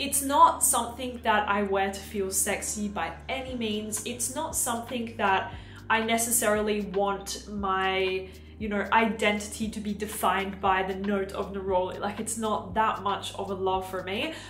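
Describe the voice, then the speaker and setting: Audible room echo and light background noise surround a woman speaking at a moderate pace and medium pitch with ordinary pitch variation. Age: 20s. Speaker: beauty YouTuber. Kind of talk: product review vlog. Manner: animated. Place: home room.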